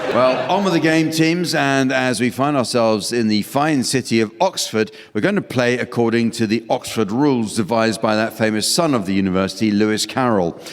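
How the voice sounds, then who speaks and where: A man speaks at a fairly quick pace, with hardly any pauses. Music plays in the background. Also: medium pitch for a man, very even loudness. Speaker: radio panel game chairman / host. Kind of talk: deadpan comedy hosting of a radio panel show.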